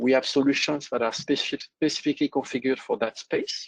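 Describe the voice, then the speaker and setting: In a dry, close sound with no echo and a quiet background, a man with a French accent speaks at a moderate pace in a medium pitch. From France. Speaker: software company presenter. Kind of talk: business webinar presentation.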